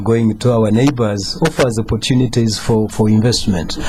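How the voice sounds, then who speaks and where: Noticeable background noise behind a man's mid-range voice, moderate in pace and ordinary in pitch variation. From Uganda. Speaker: government economic official. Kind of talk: radio talk show discussion. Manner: halting, many fillers.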